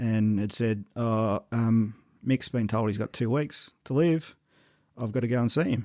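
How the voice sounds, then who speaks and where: In an Australian accent, the voice has a dark, mellow tone and ordinary pitch variation at a fairly slow pace. The recording is very clean with a silent background. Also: man, medium pitch for a man. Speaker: podcast host. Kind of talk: casual interview chat.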